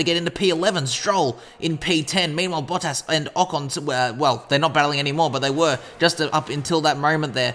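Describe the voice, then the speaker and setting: Noticeable background noise accompanies talking delivered at a fairly quick clip. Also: man. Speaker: gaming youtuber. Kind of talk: game commentary. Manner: animated.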